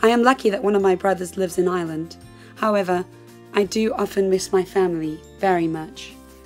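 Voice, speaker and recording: A woman speaks very fast at a medium pitch with fairly even intonation, music playing in the background. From South Africa. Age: 20s. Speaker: actress. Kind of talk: personal essay reading.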